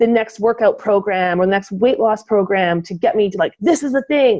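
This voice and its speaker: A woman with an ordinary speaking voice, medium pitch, ordinary pitch variation and a fairly quick pace. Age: 40s. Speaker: fitness podcast co-host. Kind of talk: casual chat.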